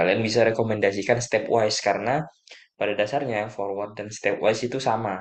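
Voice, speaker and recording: Soft-spoken and fairly low-pitched, a man talks at a fairly quick pace with big swings in loudness. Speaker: lecturer / tutor. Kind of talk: lecture. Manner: halting.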